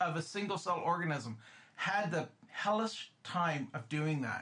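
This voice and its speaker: With lively intonation and a raised, projected voice, a man speaks at a fairly slow pace over noticeable background noise. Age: 50s. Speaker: podcast co-host. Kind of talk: casual chat. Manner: animated.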